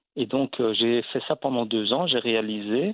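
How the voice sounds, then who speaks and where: Very slow, fairly even speech from a man at a medium pitch. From Belgium. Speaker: actor and comedian. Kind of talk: interview. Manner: halting.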